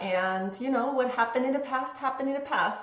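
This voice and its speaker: A woman with an Austrian accent at a fairly quick pace, ordinary pitch variation, audible room echo and noticeable background noise. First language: German. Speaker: womb healing coach, former musical theater actress. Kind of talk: interview. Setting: remote call from husband's office. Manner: calm.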